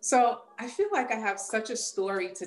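A woman with a New York accent talks at a fairly slow pace. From New York, Long Island. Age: 40s. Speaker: police detective, triathlete and coach. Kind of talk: casual interview.

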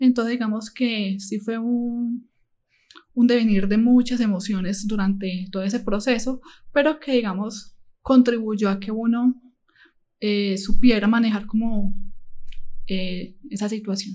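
A woman's fairly high voice with a dark, mellow tone, somewhat breathy, at a fairly slow pace with fairly even intonation and long, frequent pauses. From Colombia, Medellín. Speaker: nursing assistant and psychology student. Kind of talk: interview. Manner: halting.

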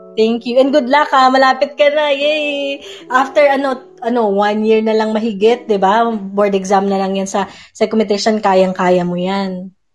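At a moderate pace, a woman with a plain, everyday voice speaks at a fairly high pitch, with ordinary pitch variation. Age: 30s. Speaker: psychologist and audio show host. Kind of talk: live audio-room talk on mental health. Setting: live audio app room.

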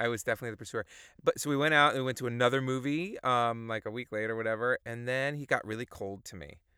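Delivered at a very fast pace in an American accent, the voice has a bright, sharp tone, ordinary pitch variation and big swings in loudness, in a very clean, dry and close recording with a silent background and no echo. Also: man, medium pitch for a man. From New York. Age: 40s. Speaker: theater producer. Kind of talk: casual chat.

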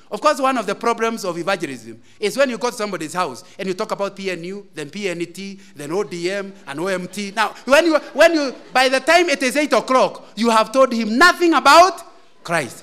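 A man's high-pitched, raised and projected voice, bright and sharp, with very wide pitch swings at a moderate pace. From Kenya, Central Province. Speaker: lay preacher. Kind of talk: sermon. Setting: church.

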